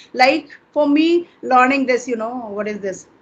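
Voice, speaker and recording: A woman with an Indian accent, high in pitch, with lively intonation. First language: Hindi. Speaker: English teacher. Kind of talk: interview conversation.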